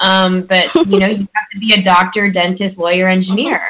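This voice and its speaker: A woman talks at a moderate pace with a Chicago accent. Her medium pitch stays fairly even. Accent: Chicago American English. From US Midwest, Chicago. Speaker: coach and author. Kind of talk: interview.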